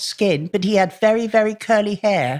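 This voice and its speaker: A plain, everyday voice with lively intonation comes at a fairly slow pace, dry and close with no echo, on a very clean recording with a silent background. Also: woman. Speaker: distant relative. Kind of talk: interview.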